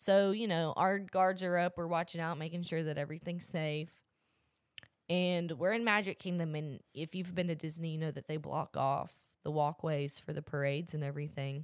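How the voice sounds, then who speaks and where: A woman's ordinary speaking voice, fairly low in pitch, at a moderate pace with fairly even intonation. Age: young. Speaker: podcast co-host, college student. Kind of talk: casual chat.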